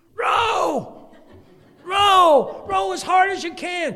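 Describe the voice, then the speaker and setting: Someone uses a put-on character voice with an extremely high pitch. The pace is very slow. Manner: timid.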